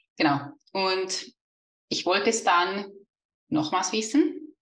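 In a Swiss German accent, a woman speaks in a bright, sharp tone with very wide pitch swings. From Switzerland. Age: 30s. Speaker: money mindset coach. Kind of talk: podcast interview.

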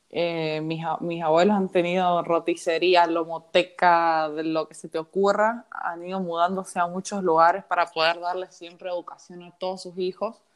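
A woman's flat, monotone delivery at a moderate pace, with big swings in loudness and hardly any pauses. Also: fairly low pitch for a woman. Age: 20s. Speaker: accountant. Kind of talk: casual chat. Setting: remote recording from home.

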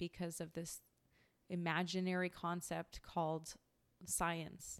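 Speaking at a very slow pace with a Western Canadian accent, this voice comes through a very clean recording against a silent background. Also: woman. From Canada, British Columbia. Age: 30s. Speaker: podcast host. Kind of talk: personal storytelling monologue.

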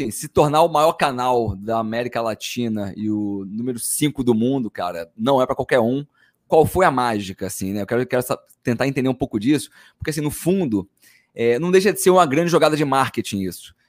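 In a dry, close sound with no echo, a man with an unremarkable speaking voice talks at a medium pitch and a fairly quick pace with lively intonation. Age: 30s. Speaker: podcast host, marketing executive. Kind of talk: casual interview chat.

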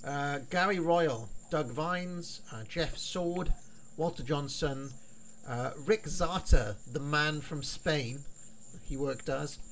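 In a British accent, a man with a fairly high pitch and ordinary pitch variation speaks at a very slow pace, with long, frequent pauses. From United Kingdom. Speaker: wrestling history podcaster. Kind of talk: casual chat.

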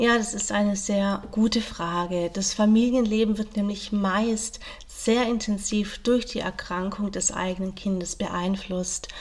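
Through noticeable background noise, a woman at medium pitch speaks at a fairly slow pace in a monotone, flat intonation, with hardly any pauses. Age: 40s. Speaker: social worker and family counsellor. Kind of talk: interview.

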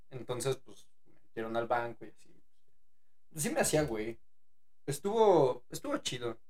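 A man's medium-pitched voice with lively intonation, big swings in loudness, long and frequent pauses, and audible room echo. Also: fairly slow pace. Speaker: podcast host. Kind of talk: casual chat.

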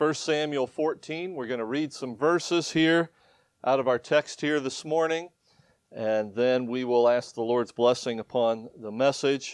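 In a Midwestern US accent, a man speaks at a fairly slow pace with a medium pitch and ordinary pitch variation. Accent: US Midwest. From Ohio. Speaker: missionary preacher. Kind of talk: sermon. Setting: church.

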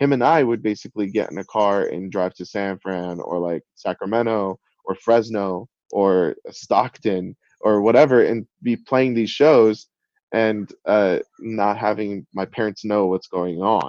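A man talks at a fairly slow pace in a normal speaking voice, pitched fairly low with ordinary variation. The sound is dry and close, with no echo. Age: 30s. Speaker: music producer and DJ. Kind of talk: casual interview. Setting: video call. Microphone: sounds good despite Zoom.

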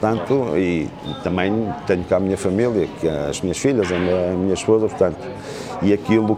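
With audible room echo and noticeable background noise, a man speaks at a fairly quick pace. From northern Portugal, Amarante. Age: 50s. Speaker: real estate consultant. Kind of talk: casual interview.

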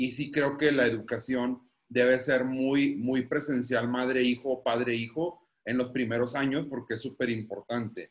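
At a fairly slow pace, a man talks in a monotone, flat intonation at a medium pitch. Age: 30s. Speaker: guest, married father. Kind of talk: casual chat.

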